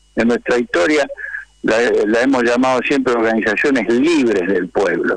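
A man uses a normal speaking voice at a medium pitch and a moderate pace. His pitch varies in an ordinary way while his loudness stays very even. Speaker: trade union leader. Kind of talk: radio interview.

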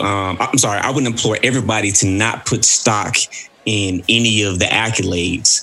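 Fairly low-pitched man with a Southern US accent at a moderate pace, noticeable background noise. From Mississippi, US South. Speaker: podcast host. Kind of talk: casual chat.

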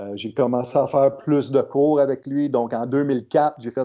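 A man with a dark, mellow tone speaks with fairly even intonation over a quiet background. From Quebec. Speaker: strength coach. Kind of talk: casual interview.

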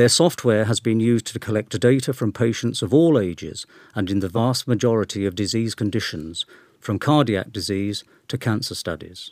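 The recording is very clean, with a silent background and a dry, close sound with no echo. A man speaks in a normal speaking voice at a medium pitch and a moderate pace. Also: ordinary pitch variation. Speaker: newsletter reader. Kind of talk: reading aloud.

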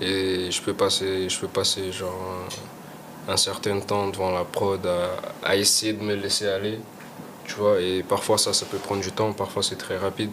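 A man talks at a fairly slow pace in a flat monotone. Noticeable background noise runs underneath. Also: fairly low pitch for a man. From Portugal. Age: 20s. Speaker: rapper. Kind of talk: casual chat. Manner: halting.

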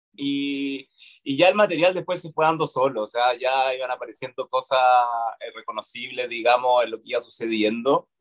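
A man with a Chilean accent speaks at a fairly high pitch and a moderate pace, with ordinary pitch variation and big swings in loudness. The sound is dry and close with no echo. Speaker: actor. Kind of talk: casual interview chat.

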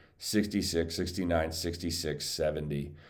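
A man talks at a moderate pace in a very deep, low pitch with a dark, mellow tone. Audible room echo surrounds the voice. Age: 30s. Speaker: golf gambling podcast host. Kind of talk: solo casual monologue. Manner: halting, many repetitions.

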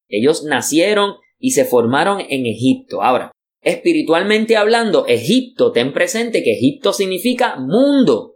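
This man talks at a moderate pace. His loudness stays very even. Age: 40s. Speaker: pastor. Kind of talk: bible teaching class.

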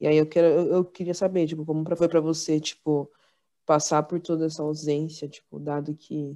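Delivered at a fairly quick pace, this dark, mellow voice keeps a monotone, flat intonation over a quiet background. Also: woman. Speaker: podcast host, university student. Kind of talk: casual chat.

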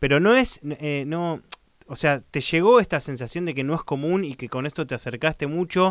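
A man's unremarkable speaking voice at a moderate pace, fairly high in pitch. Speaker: podcast host. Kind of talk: interview.

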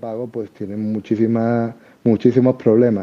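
A man with an Andalusian accent speaks in a monotone, flat way. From Andalusia, Seville. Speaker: crypto enthusiast. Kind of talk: casual chat.

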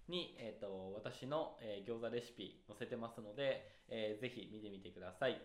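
Moving at a moderate pace, the speaker shows ordinary pitch variation and big swings in loudness. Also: man, medium pitch for a man. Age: 30s. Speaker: podcast co-host. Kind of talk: casual chat.

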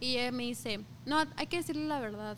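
A woman's voice at a fairly quick pace. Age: 20s. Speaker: podcast guest, sports club employee. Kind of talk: casual chat.

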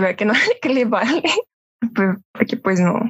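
A woman speaks with a Mexican accent. Her pace is moderate. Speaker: podcast guest. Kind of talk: casual chat.

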